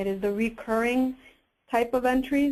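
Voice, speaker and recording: Against a quiet background, a woman with an unremarkable speaking voice talks at a fairly quick pace, fairly high in pitch with fairly even intonation. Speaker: software presenter. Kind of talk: webinar product demo.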